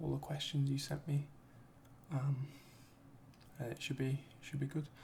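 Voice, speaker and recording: A soft-spoken man whispers at a fairly slow pace. Noticeable background noise is present. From United Kingdom. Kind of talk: ASMR Q and A talk to camera. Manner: soft-spoken, whispered.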